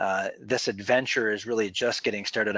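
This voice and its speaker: At a moderate pace, the voice stays monotone and flat, with a dry, close sound and no echo in a very clean recording over a silent background. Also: man. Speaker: webinar presenter. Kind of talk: sales pitch. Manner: halting, many repeated words.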